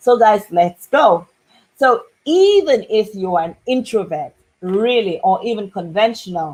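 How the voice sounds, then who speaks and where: A woman with an unremarkable speaking voice talks at a fairly slow pace, her fairly high pitch carrying lively intonation. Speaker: business consultant and marketing coach. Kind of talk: business advice talk to camera.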